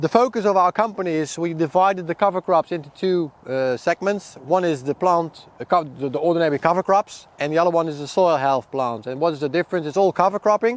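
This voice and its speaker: A man with a Dutch accent speaks at a very fast pace with hardly any pauses, his pitch high. The sound is dry and close, with no echo. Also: ordinary pitch variation. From Netherlands. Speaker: seed company product manager and farmer. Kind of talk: outdoor field talk to farmers. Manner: halting, many repetitions.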